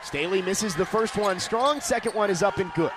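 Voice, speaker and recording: A man talks fairly quickly in a high voice. Noticeable background noise runs underneath. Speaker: play-by-play broadcaster. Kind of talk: radio sports play-by-play.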